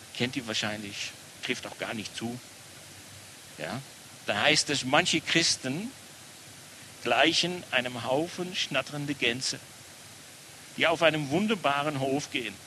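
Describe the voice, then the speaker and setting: A man with a Dutch accent speaks at a fairly slow pace, with long, frequent pauses and ordinary pitch variation. His voice sits fairly high, and there is noticeable background noise. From Netherlands. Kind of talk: sermon.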